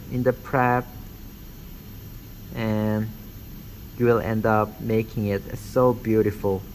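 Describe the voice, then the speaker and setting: At a very slow pace, a man with a non-native accent talks in a fairly low pitch with monotone, flat intonation and long, frequent pauses. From Korean background. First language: not English. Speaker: dentistry instructor. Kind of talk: tutorial. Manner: halting, many fillers.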